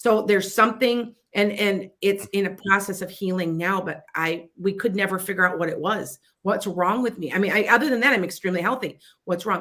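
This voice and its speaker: Here a woman speaks in a Chicago accent at a fairly quick pace. Her medium-pitched voice has a bright, sharp tone. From US Midwest, Wisconsin-Illinois border. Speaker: psychic radio host. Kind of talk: casual talk radio advice. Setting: internet radio studio, live stream. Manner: animated, halting with frequent restarts.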